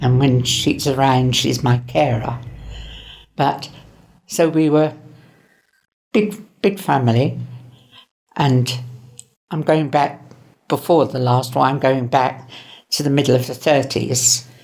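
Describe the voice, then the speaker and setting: A woman's very deep, low voice with vocal fry, fairly slow, with ordinary pitch variation and long, frequent pauses. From southern England, Winchester, Hampshire. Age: 80s+. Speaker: elderly interviewee. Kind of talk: personal reminiscence. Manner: halting.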